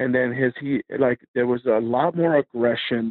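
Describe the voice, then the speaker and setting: A man with an unremarkable speaking voice, medium pitch and a fairly slow pace. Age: 40s. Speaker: metal band musician. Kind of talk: casual interview. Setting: phone call.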